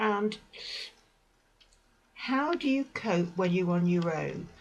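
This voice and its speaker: At a very slow pace, a woman speaks in a somewhat breathy voice of medium pitch with lively intonation. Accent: British. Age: 60s. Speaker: vlogger. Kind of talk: personal advice talk. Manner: hesitant.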